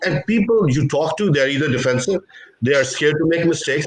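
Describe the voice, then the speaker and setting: A man with a non-native accent, talking at a fairly quick pace with ordinary pitch variation. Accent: foreign. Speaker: investor. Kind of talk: panel discussion. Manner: animated.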